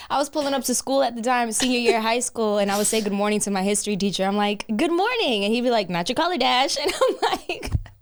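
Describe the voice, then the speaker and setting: Over noticeable background noise, a woman with a fairly high pitch and an American accent talks very fast with hardly any pauses, very even loudness and lively intonation. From New York. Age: 20s. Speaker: model and influencer. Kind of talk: casual podcast interview. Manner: animated.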